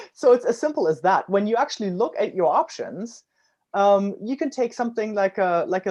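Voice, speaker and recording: A dark, mellow voice with a German accent, very wide pitch swings and a fairly quick pace. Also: woman. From Germany. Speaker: startup founder. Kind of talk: interview.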